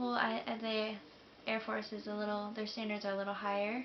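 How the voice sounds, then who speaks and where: A woman's medium-pitched voice with an American accent, audible room echo and noticeable background noise. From US South, Jacksonville, Florida. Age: 20s. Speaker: military enlistee vlogger. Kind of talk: casual vlog monologue. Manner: hesitant, many fillers.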